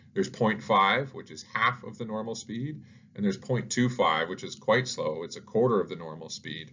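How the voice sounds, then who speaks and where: A man with a normal speaking voice talks at a moderate pace, his pitch medium and his intonation lively. His loudness swings widely. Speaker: educational YouTuber, teacher. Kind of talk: tutorial.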